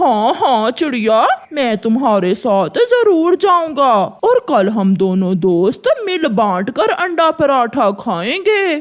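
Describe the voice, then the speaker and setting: In a cartoonish character voice, the speaker talks very slowly at a fairly high pitch with very wide pitch swings. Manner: wheedling, cowardly.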